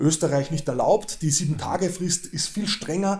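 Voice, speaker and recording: A man's fairly high-pitched voice, dark and mellow in tone, with fairly even intonation and a fairly quick pace. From Austria. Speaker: professor. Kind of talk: interview.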